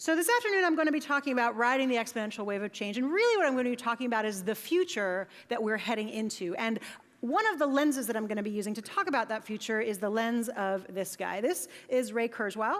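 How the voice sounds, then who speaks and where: Over noticeable background noise, a woman with an American accent talks at a very fast pace, her pitch fairly high and her intonation lively. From United States. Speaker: conference keynote speaker. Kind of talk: conference talk. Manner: casual, conversational.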